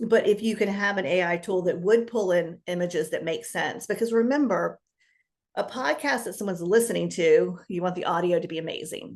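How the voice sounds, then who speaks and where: This woman talks at a fairly quick pace and medium pitch, with vocal fry. Her pitch variation is ordinary. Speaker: business coach. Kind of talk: interview. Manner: fast.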